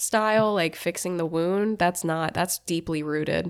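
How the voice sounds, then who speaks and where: This woman has a plain, everyday voice with a fairly low pitch. She talks at a moderate pace with fairly even intonation in a very clean recording with a silent background. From southern Germany, moved to US in high school. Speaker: relationship content creator. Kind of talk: casual chat.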